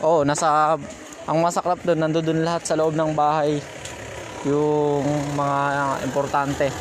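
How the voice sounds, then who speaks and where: There is noticeable background noise but no echo in this dry recording of a man speaking in a flat monotone at a fairly high pitch, with long, frequent pauses. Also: fairly slow pace, very even loudness. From Philippines. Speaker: motorcycle ride-hail rider and livestreamer; livestreamer. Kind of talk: live on-the-scene commentary. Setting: outdoors at a house fire. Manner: urgent, repetitive. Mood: worried, urgent. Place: street. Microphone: phone near.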